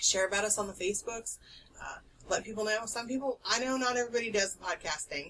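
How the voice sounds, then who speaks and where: Very fast and with big swings in loudness, a woman speaks at a fairly high pitch with ordinary pitch variation over noticeable background noise. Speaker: podcast host. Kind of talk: casual chat.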